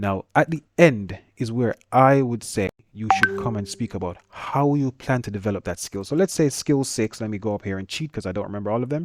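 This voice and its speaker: The man talks at a fairly quick pace with lively intonation in a dry, close sound with no echo. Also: medium pitch for a man. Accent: Jamaican. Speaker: engineering teacher. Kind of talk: tutorial. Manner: fast; casual.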